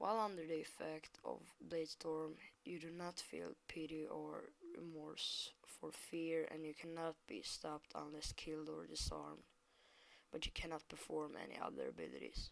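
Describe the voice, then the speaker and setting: Moderate pace from a woman with a non-native accent. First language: not English. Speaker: gaming guide maker. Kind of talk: tutorial. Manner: halting.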